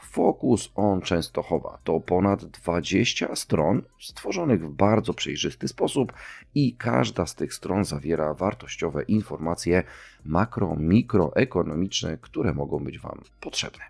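In a very clean recording with a silent background, a man with a very deep, low pitch and vocal fry speaks at a very slow pace with lively intonation. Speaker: podcast host. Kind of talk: solo podcast monologue.

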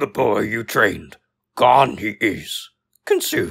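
A man performs a raspy put-on character voice at medium pitch and a very slow pace. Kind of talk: character voice demo. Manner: inverted word order, slow.

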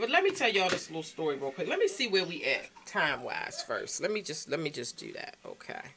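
Fairly quick, animated speech from a woman with an American accent, hardly any pauses, big swings in loudness and light background noise. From Baltimore, Maryland. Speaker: vlogger. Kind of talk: casual chat to camera. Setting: at home. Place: home room. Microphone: phone near.

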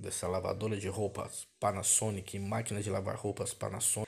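At a moderate pace, a man speaks in a fairly low pitch, his voice somewhat breathy. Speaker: vlogger showing store prices. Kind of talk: casual store walkthrough commentary. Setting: walking through a supermarket. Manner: repetitive, upbeat hype with stock phrases like 'olha aí, ó' and 'amigos e amigas'; casual, colloquial grammar, rattles off numbers. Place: shop. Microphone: phone near.

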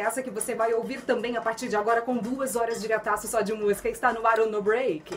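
Over light background noise, a woman speaks in an upbeat tone at a fairly high pitch and a fairly quick pace. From Santa Catarina, Brazil. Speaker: radio announcer. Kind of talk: FM radio host talk. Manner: upbeat, casual. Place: studio. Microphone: studio mic.

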